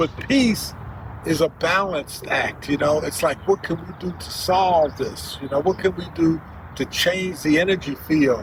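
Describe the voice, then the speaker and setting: With noticeable background noise behind him, a man talks at a fairly slow pace in a fairly high pitch with ordinary pitch variation. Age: 80s+. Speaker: grandfather sharing life wisdom. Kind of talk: casual interview. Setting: outdoors in a park. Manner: halting.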